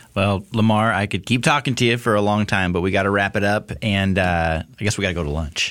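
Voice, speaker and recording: This man has an ordinary speaking voice and moves at a fairly quick pace with hardly any pauses, very even loudness and ordinary pitch variation. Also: fairly low pitch for a man. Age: 30s. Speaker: podcast host. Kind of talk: casual interview.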